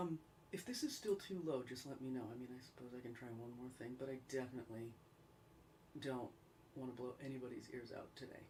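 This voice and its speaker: With an American accent, a woman with a very deep, low pitch and a dark, mellow tone speaks at a moderate pace with ordinary pitch variation, and audible room echo surrounds her. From upstate New York. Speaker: singer-songwriter livestream host. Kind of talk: casual livestream chat. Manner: chatty. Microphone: mic problems, sound too low.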